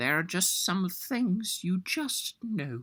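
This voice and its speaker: A put-on character voice comes through at a fairly high pitch and a very slow pace. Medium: read story.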